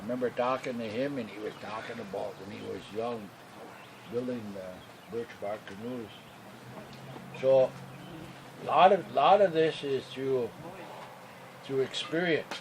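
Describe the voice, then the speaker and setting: With an American accent and a medium pitch, a man speaks with lively intonation, big swings in loudness and long, frequent pauses, against noticeable background noise. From Wisconsin, Lake Superior reservation. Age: 70s. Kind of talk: interview.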